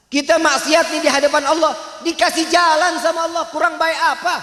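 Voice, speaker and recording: In a Jakarta accent, a man talks at a fairly quick pace in a raised, projected voice with an animated tone. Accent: Betawi. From Jakarta, Tanah Abang (Betawi). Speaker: preacher. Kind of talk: religious sermon.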